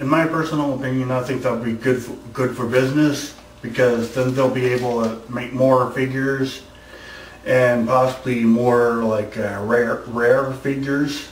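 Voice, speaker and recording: At a moderate pace, the speaker talks in a monotone, flat intonation, with audible room echo and noticeable background noise. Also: man, medium pitch for a man. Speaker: YouTuber answering viewer questions. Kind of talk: casual Q&A vlog. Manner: halting, many repetitions and false starts.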